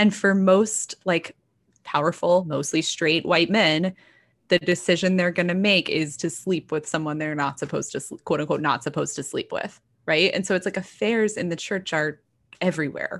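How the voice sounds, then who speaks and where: A woman with an American accent and an unremarkable speaking voice at a moderate pace, on a very clean recording with a silent background. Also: fairly low pitch for a woman, ordinary pitch variation. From Texas. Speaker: novelist and features writer. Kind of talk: casual interview chat.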